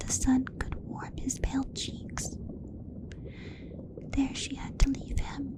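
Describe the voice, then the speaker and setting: A woman whispers over noticeable background noise. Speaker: ASMR creator. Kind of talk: whispered bedtime story reading. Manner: whispered, soft, slow.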